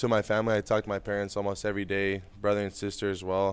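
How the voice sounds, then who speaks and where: A man with a Spanish accent, fairly low-pitched, at a very fast pace. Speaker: baseball prospect. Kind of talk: casual interview.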